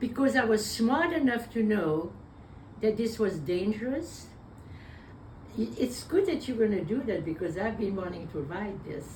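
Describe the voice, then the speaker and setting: A woman talks at a fairly high pitch with very wide swings in her voice. She leaves long, frequent pauses, and the room echo is audible. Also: moderate pace. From Belgium. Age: 90s. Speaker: war survivor. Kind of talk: interview. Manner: halting.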